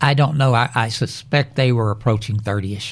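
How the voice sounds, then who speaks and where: A man speaks at a medium pitch in a West Texas accent, somewhat breathy, with ordinary pitch variation. The background is quiet. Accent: West Texas drawl. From West Texas, Lubbock. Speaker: retired electrician. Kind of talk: casual family interview.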